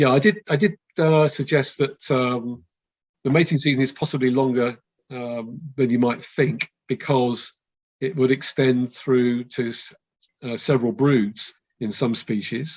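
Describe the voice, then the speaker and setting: The speaker is a man at medium pitch. His pace is fairly slow. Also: ordinary pitch variation. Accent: West London. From West London. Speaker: birdwatching expert giving a talk. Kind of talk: online talk with Q&A. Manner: hesitant, many fillers.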